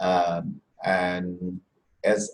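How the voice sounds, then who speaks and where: A man talks with a Bengali accent. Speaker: musician. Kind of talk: panel discussion. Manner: halting.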